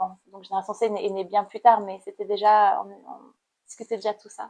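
The speech comes at a fairly slow pace in a monotone, flat intonation. The background is quiet. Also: woman. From Cambodia. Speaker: painter and activist. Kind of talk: interview. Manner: halting.

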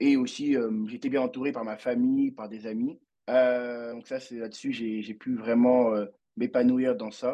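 Delivered at a fairly slow pace, a man's medium-pitched, monotone voice has flat intonation and big swings in loudness. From Côte d'Ivoire, raised in Brittany. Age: 20s. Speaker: student musician, percussionist. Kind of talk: interview podcast. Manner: halting, many repetitions.

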